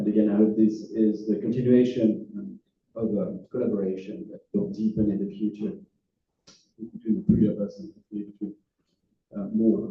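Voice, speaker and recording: A man with a French accent speaks at a fairly quick pace, his pitch fairly low with ordinary variation. His loudness swings widely, and he leaves long, frequent pauses. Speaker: philosophy professor. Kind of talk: lecture. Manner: halting, many fillers.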